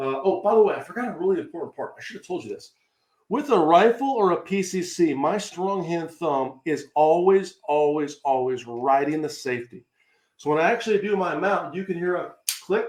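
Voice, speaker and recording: A man speaks at a high pitch in an animated tone, with lively intonation and big swings in loudness. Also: fairly quick pace. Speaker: shooting instructor. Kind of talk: live stream tutorial. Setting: live video stream. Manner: fast.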